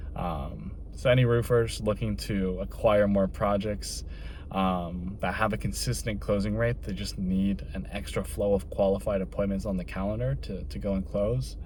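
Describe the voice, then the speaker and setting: Room echo can be heard around the voice. A man talks at a moderate pace. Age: 20s. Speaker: entrepreneur vlogger. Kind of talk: personal vlog monologue. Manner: casual, many filler words.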